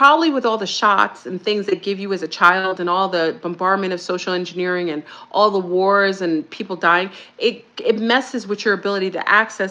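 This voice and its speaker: Bright and sharp in tone, a woman's voice moves at a fairly quick pace with ordinary pitch variation. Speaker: spiritual speaker. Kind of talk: casual monologue. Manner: fast.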